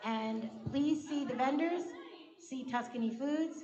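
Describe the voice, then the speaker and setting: A woman's voice carries audible room echo. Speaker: event host. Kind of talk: event announcements. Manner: loud.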